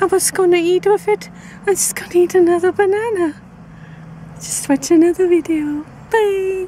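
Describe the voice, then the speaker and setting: Light background noise accompanies a woman's voice, recorded dry with no echo. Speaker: vlogger. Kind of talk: casual vlog chat. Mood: playful, cheerful. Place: car. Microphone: phone near.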